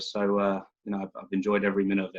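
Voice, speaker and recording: A man is speaking. He has a slight English accent. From southern England, West Sussex. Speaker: youth soccer club director. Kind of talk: interview over video call.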